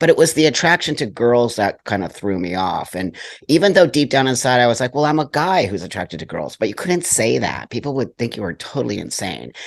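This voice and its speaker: Medium-pitched male speech with vocal fry and very wide pitch swings, fairly quick and with hardly any pauses. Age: 60s. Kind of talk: interview.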